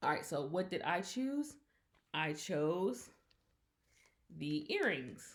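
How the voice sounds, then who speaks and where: With audible room echo, a woman with a fairly low pitch speaks at a very slow pace, using long, frequent pauses, very wide pitch swings and very even loudness. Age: 40s. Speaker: unboxing video creator. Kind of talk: product unboxing review. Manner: casual, chatty.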